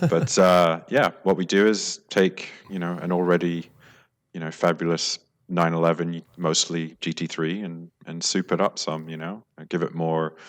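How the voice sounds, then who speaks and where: In an American accent, a man speaks at a moderate pace with a very deep, low pitch and a monotone, flat delivery. His loudness swings widely on a very clean recording with a silent background. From London, England. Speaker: Porsche tuning shop owner. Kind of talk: casual interview chat.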